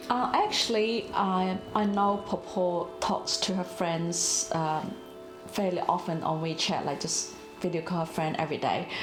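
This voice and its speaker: A woman speaks at a moderate pace with a fairly low pitch and fairly even intonation. Music plays in the background, and the room echo is audible. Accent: Chinese. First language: Chinese. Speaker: interviewee, Chinese-Australian migrant. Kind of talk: documentary interview.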